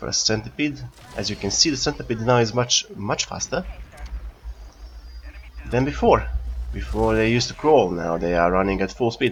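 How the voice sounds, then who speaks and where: With a non-native accent, a man talks at a moderate pace, his pitch swinging very widely, while background noise is noticeable. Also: fairly low pitch for a man. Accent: non-native English speaker. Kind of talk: casual gameplay commentary. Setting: cheap home microphone.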